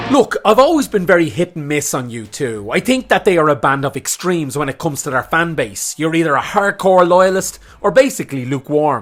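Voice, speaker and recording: A man speaks in an Irish accent at a high pitch with very wide pitch swings. The pace is fairly quick, and background noise is noticeable. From Ireland. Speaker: music commentator, YouTuber. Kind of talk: video essay / opinion commentary.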